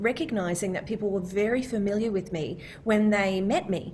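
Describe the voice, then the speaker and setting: A somewhat breathy woman speaks at a medium pitch and a moderate pace, her pitch varying an ordinary amount. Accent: Australian. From Australia. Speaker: voice of a phone assistant and GPS. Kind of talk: interview answer.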